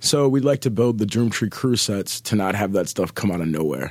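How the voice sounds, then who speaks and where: The recording is very clean, its background silent. A man talks at a fairly quick pace. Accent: American. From Minneapolis, Minnesota. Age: 30s. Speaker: rapper touring musician. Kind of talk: casual interview chat.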